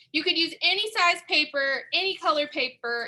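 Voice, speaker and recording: A woman projects a raised voice at a high pitch. Her tone is bright and sharp, with very wide pitch swings. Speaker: museum art educator. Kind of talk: tutorial.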